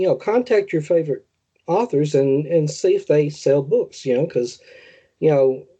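A man with a Southern US accent has a fairly high pitch and a dark, mellow tone. His loudness stays very even while his intonation is lively. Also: moderate pace. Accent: Southern American. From US South, rural tobacco-farming area. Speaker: horror author. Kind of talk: interview. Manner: halting, many fillers.

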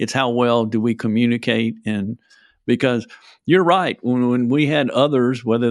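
A man talks in a normal speaking voice at medium pitch. His pace is moderate and his pitch varies in an ordinary way. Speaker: podcast host, tax expert. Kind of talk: casual interview chat.

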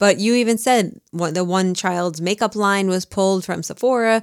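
A woman with a New Jersey accent speaks at a moderate pace in a medium pitch, with fairly even intonation. The recording is very clean, dry and close, with a silent background and no echo. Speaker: true crime podcast co-host. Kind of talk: casual chat.

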